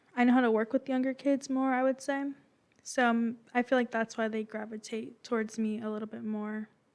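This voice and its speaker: A quiet woman speaks in a fairly high, monotone voice with flat intonation. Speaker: youth club staff member. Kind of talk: podcast interview. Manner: very quiet.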